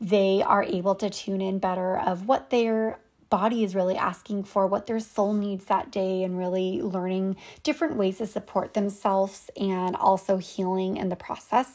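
Here a woman speaks in an ordinary speaking voice at a medium pitch and moderate pace, with ordinary pitch variation. The recording is very clean, with a silent background. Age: 30s. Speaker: wellness podcast host and coach. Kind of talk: solo podcast monologue.

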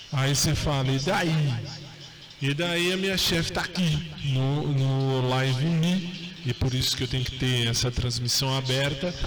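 Speaking at a fairly slow pace, a man with a fairly high pitch keeps his loudness very even and his pitch variation ordinary, amid noticeable background noise and audible room echo. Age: 40s. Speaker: radio host. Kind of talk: live radio show, casual chat. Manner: animated.

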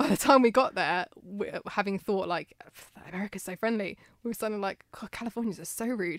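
A woman with a British accent talks at a fairly quick pace at medium pitch with ordinary pitch variation, the sound dry and close with no echo. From Britain. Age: 30s. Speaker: podcast host. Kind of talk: casual chat.

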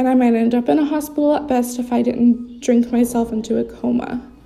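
Music plays behind a woman who speaks at a moderate pace in a high pitch. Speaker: sobriety podcast host in recovery. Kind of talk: casual personal monologue. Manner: scattered, rambling delivery.

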